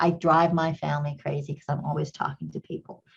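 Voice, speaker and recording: Very deep and low in pitch with vocal fry, a woman speaks at a moderate pace with a slight English accent. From Kenya. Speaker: company CEO, engineer. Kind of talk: interview conversation.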